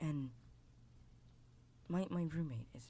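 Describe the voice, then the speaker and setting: The voice is soft-spoken and somewhat breathy, with a dark, mellow tone. It moves at a very slow pace with lively intonation. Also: man. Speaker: VTuber ASMR creator. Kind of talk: first-person story narration.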